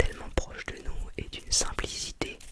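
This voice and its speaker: The words come as a whisper, delivered very slowly. Noise in the background is noticeable. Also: woman. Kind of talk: ASMR whispering. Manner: whispered, soft-spoken.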